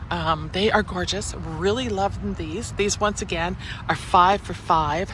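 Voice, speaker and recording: Someone with a Canadian accent speaks at a moderate pace over noticeable background noise. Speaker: gardening vlogger. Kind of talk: casual walk-through vlog.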